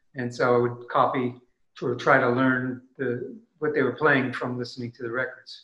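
Audible room echo surrounds a man with a bright, sharp tone and monotone, flat intonation. He keeps a moderate pace over a quiet background. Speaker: musician. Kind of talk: casual chat. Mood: warm, reflective. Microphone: webcam.

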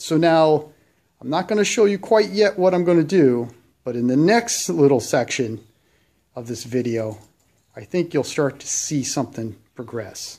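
A man talks at a moderate pace with very wide pitch swings and a dark, mellow tone. The background is quiet. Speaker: hobbyist restoring a tractor. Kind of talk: tutorial. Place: garage. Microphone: phone near.

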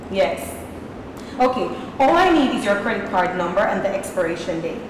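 The speech carries audible room echo along with light background noise. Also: woman. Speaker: actor playing call-centre agent. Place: stage.

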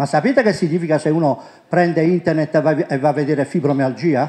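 The tone is dark and mellow. Pitch variation is ordinary, and the pace is moderate. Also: man. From Puglia, Italy (Monopoli); Puglia, Italy. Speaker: presenter. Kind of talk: conference talk. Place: hall. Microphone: handheld.

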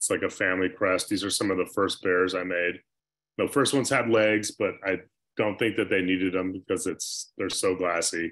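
A man with a very deep, low pitch and an American accent talks at a moderate pace with fairly even intonation against a quiet background. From US Pacific Northwest. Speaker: glass artist. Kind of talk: presentation. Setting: video call. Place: home room. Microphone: video call.

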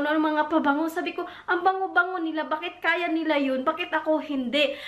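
The pace is moderate and the intonation fairly even. The background stays quiet. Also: woman. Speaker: vlogger. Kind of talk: casual vlog chat. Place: home room. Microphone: camera far.

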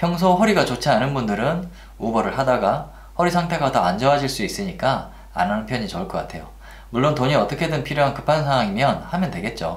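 Delivered at a fairly quick pace, the voice has vocal fry and very wide pitch swings. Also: man. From Korea. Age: 40s. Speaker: Uber driver. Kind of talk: casual talk to camera. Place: home room.

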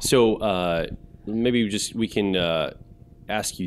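A man's fairly low voice, a normal speaking voice, with ordinary pitch variation and light background noise. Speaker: event host. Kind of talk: panel Q&A discussion. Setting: stage with audience. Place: hall. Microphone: handheld.

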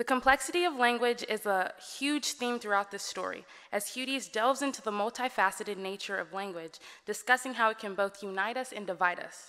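A woman with an American accent, fairly high-pitched with a bright, sharp tone and ordinary pitch variation, at a fairly quick pace against a quiet background. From Texas, Dallas. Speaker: student speaker. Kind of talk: speech. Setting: stage with audience. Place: hall. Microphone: podium.

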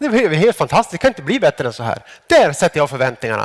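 A man talks very fast with a quiet background behind him. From Sweden. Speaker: psychologist and academic. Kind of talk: lecture. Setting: stage with audience. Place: stage. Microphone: headset.

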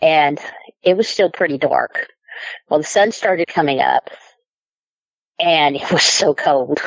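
A woman at a fairly slow pace, with long, frequent pauses. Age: 50s. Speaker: eyewitness storyteller. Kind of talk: personal testimony.

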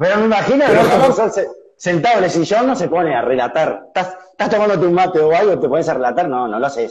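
A man speaks at a high pitch with very wide pitch swings and a fairly quick pace. The background is quiet. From Uruguay. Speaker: online interviewer. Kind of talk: interview. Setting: live video call on Instagram. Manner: halting, repeats words. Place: home room. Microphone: studio mic.

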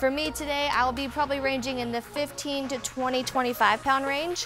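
Over faint background music, a woman speaks in a high-pitched voice with fairly even intonation. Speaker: fitness instructor. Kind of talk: workout instruction. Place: studio. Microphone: lapel.

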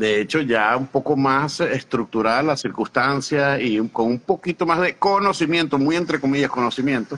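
A man's fairly high voice with ordinary pitch variation, moderate pace, and light background noise. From Venezuela. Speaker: immigration consultant; interview guest. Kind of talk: interview; interview answer. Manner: halting, many repetitions. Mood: warm, animated, smiling. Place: home room. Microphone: video call.

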